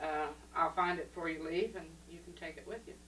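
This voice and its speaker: The background carries noticeable noise. A woman talks at a fairly quick pace over it. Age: 60s. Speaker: grandmother being interviewed. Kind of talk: casual family interview. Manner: conversational, reminiscing.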